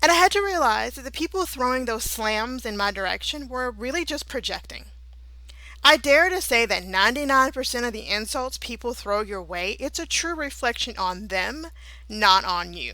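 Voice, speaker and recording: The tone is bright and sharp, with very wide pitch swings and big swings in loudness. It is a very clean recording with a silent background. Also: woman, fairly high pitch for a woman, moderate pace. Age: 30s. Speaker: holistic therapist and podcast host. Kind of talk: motivational talk. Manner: passionate, at times out of breath.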